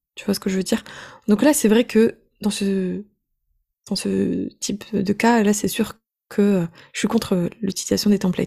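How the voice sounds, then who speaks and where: A woman's somewhat breathy, dark, mellow voice at medium pitch, fairly slow with long, frequent pauses and fairly even intonation, in a very clean recording with a silent background. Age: 20s. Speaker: online business coach. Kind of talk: casual interview.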